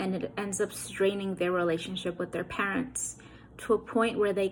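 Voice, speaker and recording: A woman with an American accent uses an unremarkable speaking voice at medium pitch, with fairly even intonation. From New York City (Queens/Brooklyn). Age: 30s. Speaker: author. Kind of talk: motivational address. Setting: recorded video message.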